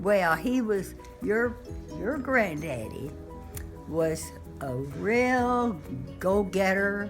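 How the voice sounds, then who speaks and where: A woman's medium-pitched voice, very slow with long, frequent pauses and very wide pitch swings, over music in the background. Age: 80s+. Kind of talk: interview answer.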